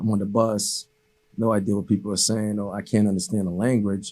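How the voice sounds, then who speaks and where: At a moderate pace, a man with a Haitian accent speaks in a fairly low pitch with a dark, mellow tone and monotone, flat intonation. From Haiti, raised in Cambridge, Massachusetts. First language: Haitian Creole. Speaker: basketball coach. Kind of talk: interview. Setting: studio. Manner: many fillers and repetitions.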